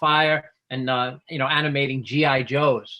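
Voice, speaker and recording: With a New York accent, a man speaks in a fairly high, monotone voice with flat intonation. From New York, Bronx and Long Island. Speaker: special effects artist and filmmaker. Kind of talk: interview.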